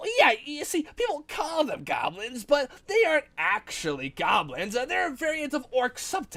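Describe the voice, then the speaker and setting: Hardly pausing, a put-on, high-pitched character voice moves along at a moderate pace. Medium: read story. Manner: smug, condescending.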